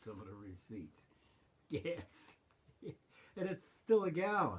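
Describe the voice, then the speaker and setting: A man is speaking. His pitch is high. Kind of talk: interview answer. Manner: rambling, conversational.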